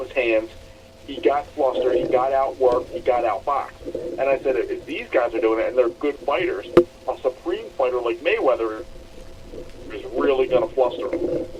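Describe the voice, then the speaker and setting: There is noticeable noise in the background. A man talks at a moderate pace. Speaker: combat sports podcast co-host. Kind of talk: casual podcast talk.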